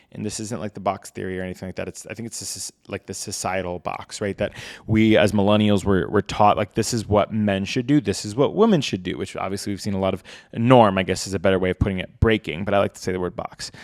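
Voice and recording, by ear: Speaking fast, a man uses a low pitch with ordinary pitch variation.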